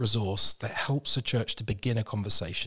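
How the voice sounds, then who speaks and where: In a very clean recording with a silent background, a man speaks with a British accent at a moderate pace. His voice is somewhat breathy, with ordinary pitch variation. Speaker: mental health organization leader. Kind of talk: interview conversation. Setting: studio.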